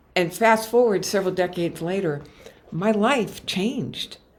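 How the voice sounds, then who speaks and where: A woman's medium-pitched, unremarkable speaking voice, fairly slow, with ordinary pitch variation. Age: 60s. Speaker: motivational speaker and coach. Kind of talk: webinar presentation. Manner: frequent fillers.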